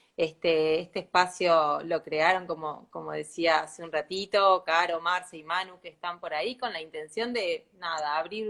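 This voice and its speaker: A woman's ordinary speaking voice, fairly low in pitch, at a moderate pace with hardly any pauses, fairly even intonation and big swings in loudness. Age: 40s. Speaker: sustainability consultant. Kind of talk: casual chat.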